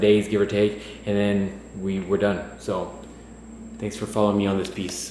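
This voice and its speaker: Noticeable background noise and audible room echo surround a man speaking at a moderate pace. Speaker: fitness vlogger. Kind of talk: casual vlog. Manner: hesitant, with fillers.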